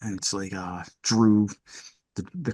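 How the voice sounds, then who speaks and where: Speaking with a Philadelphia accent, a man delivers his words in a flat monotone. His pitch is fairly low and his pace fairly slow. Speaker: rock band vocalist and lyricist. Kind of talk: casual interview chat. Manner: casual, hesitant with filler words.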